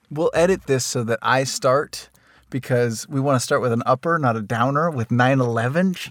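A man's playful voice at medium pitch with a General American accent, moderate pace and ordinary pitch variation, on a very clean recording with a silent background. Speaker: voiceover actor and podcast host. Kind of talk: casual chat, comedic banter. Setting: studio. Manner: playful, joking.

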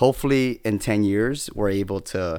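A man with an American accent and an ordinary speaking voice, fairly low in pitch with ordinary pitch variation, on a very clean recording with a silent background. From California, San Bernardino. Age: young. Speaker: state senate communications staffer. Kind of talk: casual chat.

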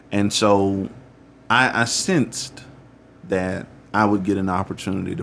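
With vocal fry, a man speaks at a very deep, low pitch and ordinary pitch variation. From US South, rural Alabama. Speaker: pastor. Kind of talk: interview.

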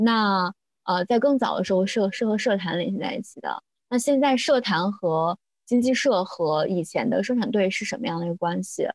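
A woman with a plain, everyday voice, medium pitch and lively intonation. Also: moderate pace. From rural China. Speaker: religious studies graduate student. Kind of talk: casual chat.

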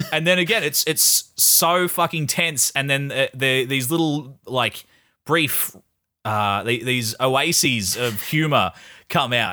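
The recording is very clean with a silent background, and a man with an Australian accent speaks very slowly. His pitch is fairly high, his tone bright and sharp, his intonation lively, and his loudness very even. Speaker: podcast host, film reviewer. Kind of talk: casual chat.

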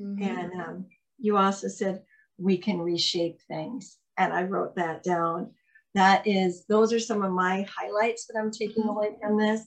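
At a fairly slow pace, a woman speaks in a normal speaking voice. Her pitch is medium and her intonation fairly even. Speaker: podcast host. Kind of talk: casual interview.

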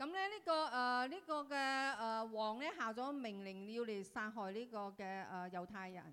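Very slowly, a woman speaks at a fairly high pitch in a bright, sharp tone with lively intonation. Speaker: interpreter. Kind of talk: consecutive interpretation of a sermon, translating into Cantonese and Vietnamese. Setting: church. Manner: halting, with fillers, echoing the preacher sentence by sentence.

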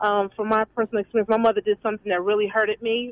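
A woman speaks with a fairly high pitch. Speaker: caller. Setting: phone call.

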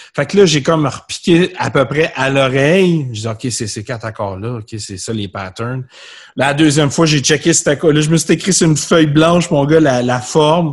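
Lively intonation and a somewhat breathy voice at a moderate pace. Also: man, fairly high pitch for a man. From Quebec, South Shore of Montreal. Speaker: musician. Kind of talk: casual chat. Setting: video call.

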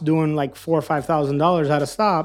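In an American accent, a man with a normal speaking voice talks at a moderate pace and a fairly high pitch. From Miami, Florida. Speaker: food truck owner. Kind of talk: casual chat.

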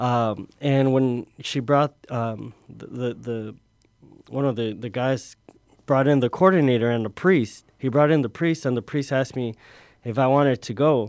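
A man with a plain, everyday voice speaks at medium pitch and a fairly slow pace, with ordinary pitch variation, in a very clean recording with a silent background. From Chicago (Little Village), born in Mexico. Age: 30s. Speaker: seminarian. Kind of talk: radio interview.

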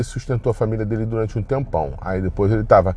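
This man has a fairly low pitch and a dark, mellow tone. He sounds somewhat breathy and moves at a fairly quick pace. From Brazil. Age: middle-aged. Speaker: podcaster. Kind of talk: personal monologue. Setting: in a car. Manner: casual, rambling with fillers.

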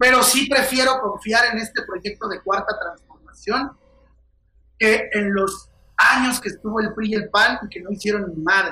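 With a raised, projected voice, a man talks fairly slowly at a high pitch, using ordinary pitch variation. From Mexico, Querétaro. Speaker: comedian. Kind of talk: casual chat. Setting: video call.

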